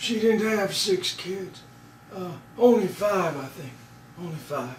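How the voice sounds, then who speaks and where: A man does a put-on character voice, high-pitched for a man, mumbling at a fairly slow pace with ordinary pitch variation. There is slight echo and light background noise. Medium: comedy sketch. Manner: hesitant, mumbling, repeats himself.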